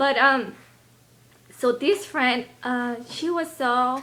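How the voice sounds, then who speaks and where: A woman talks with a Spanish accent. Her intonation is lively. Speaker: health and lifestyle video blogger. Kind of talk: casual vlog talk. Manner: halting.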